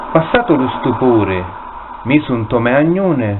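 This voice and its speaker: A man speaks very slowly at a medium pitch, his intonation lively, with noticeable background noise behind him. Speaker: poet reading own work. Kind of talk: poetry reading.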